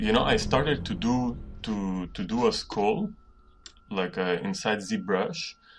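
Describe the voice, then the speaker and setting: At a very slow pace, a man speaks with a non-native accent. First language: not English. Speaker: 3D artist. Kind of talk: tutorial. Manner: halting.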